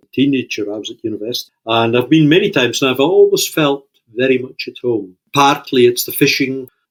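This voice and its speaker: A man with a Shetland accent talks at a fairly quick pace in a medium pitch, with lively intonation. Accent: Shetland Scottish. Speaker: fishing industry leader and author. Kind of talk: casual interview chat.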